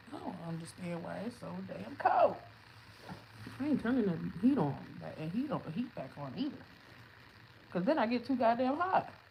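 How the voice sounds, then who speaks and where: Over noticeable background noise, the speaker moves at a moderate pace with long, frequent pauses, big swings in loudness and very wide pitch swings. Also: woman, fairly high pitch for a woman. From US East Coast, Chester near Philadelphia. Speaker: livestreamer. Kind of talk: casual livestream chat, venting.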